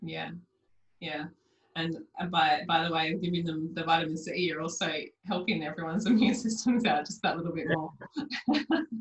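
A woman talks in an Australian accent. Her voice is fairly low and somewhat breathy. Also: ordinary pitch variation, moderate pace. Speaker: naturopath podcast host. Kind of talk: interview.

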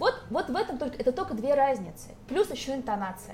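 A woman speaks over noticeable background noise. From Moscow, Russia. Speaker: English teacher. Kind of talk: casual chat. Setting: restaurant.

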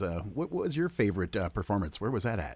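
Upbeat speech comes at a very fast pace with very wide pitch swings and vocal fry. The recording is very clean, the background silent. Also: man. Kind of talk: radio DJ patter: brisk song intros, sign-offs and repeated station IDs. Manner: upbeat, polished, friendly, rhythmic catchphrase delivery.

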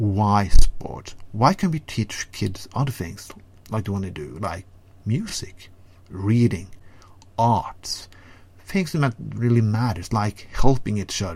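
A somewhat breathy man's voice with a Norwegian accent, fairly low in pitch, very slow in pace, and with big swings in loudness. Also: ordinary pitch variation. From Norway. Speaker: segment contributor. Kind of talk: ranting monologue. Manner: animated.

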